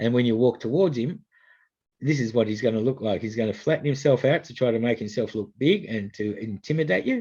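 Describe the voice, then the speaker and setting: A man with an Australian accent speaks at a fairly quick pace in a dark, mellow tone against a quiet background. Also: medium pitch for a man, ordinary pitch variation. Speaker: snake catcher. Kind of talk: public information talk. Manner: fast; hesitant, many fillers.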